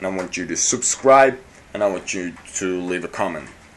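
The man talks at a moderate pace. His intonation is lively. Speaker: vlogger. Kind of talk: casual vlog chat. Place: home room. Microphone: phone near.

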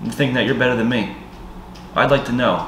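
A man talks at a moderate pace, with audible room echo and light background noise. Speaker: vlogger. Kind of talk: emotional casual vlog rant. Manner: hungover, bitter, heavy-lidded rant. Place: home room. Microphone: camera far.

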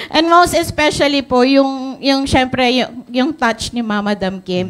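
A woman's voice sits high in pitch. She keeps to a moderate pace. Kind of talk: testimonial speech on stage. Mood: grateful, enthusiastic. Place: hall. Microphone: handheld.

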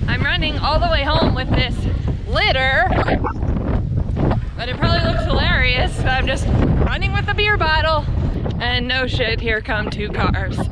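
A woman talks at a moderate pace with long, frequent pauses, her voice dry with no echo over loud background noise. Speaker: vlogger. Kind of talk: casual vlog chat. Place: open country. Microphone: phone near.

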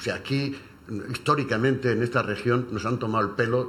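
A man speaks in a plain, everyday voice. His intonation is fairly even. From Cartagena, Spain. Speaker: retired English teacher. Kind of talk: radio panel discussion. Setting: radio studio.

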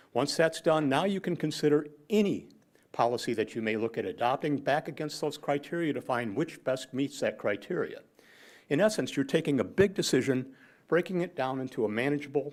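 Lively in intonation, a man speaks on a very clean recording with a silent background. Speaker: public commenter at city council meeting. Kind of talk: public comment. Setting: city council meeting. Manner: fast.

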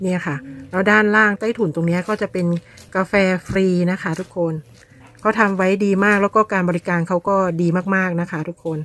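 In a dry sound with no echo, a woman speaks with fairly even intonation. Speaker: vlogger. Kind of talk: casual vlog chat. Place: garden. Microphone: phone near.

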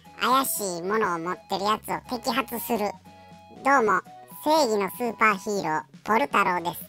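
A female-sounding put-on character voice at medium pitch and moderate pace, with faint music in the background. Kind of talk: pet voice-over comedy. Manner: casual, chatty.

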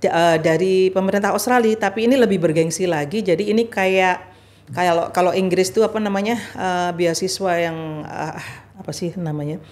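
Moderate pace and medium pitch from a woman, pitch shifting in an ordinary way. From Indonesia. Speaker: former ambassador and religious organization leader; podcast guest. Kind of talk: interview. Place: studio. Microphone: studio mic.

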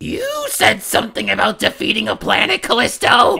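A put-on character voice speaks at a moderate pace. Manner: blustering, aggressive.

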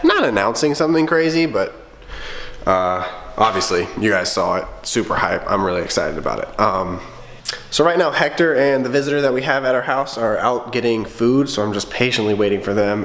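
A man's lively intonation at a fairly quick pace, with light background noise. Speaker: vlogger. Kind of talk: casual vlog chat. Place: kitchen. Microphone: phone near.

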